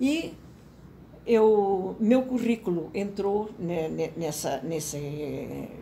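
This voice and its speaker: A woman speaks with a dark, mellow tone and vocal fry. Her pitch swings very widely. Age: 80s+. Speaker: professor emerita of communication. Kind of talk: interview answer.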